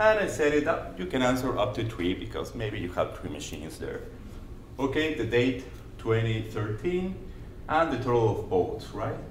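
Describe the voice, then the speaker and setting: Noticeable background noise and audible room echo surround a voice with a Spanish accent. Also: man, moderate pace. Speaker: conference presenter. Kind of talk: conference presentation. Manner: halting.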